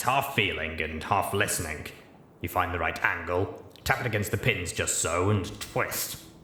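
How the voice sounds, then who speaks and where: A man puts on a character voice with a very deep, low pitch and lively intonation. He speaks at a moderate pace with a slight echo. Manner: calm and serious.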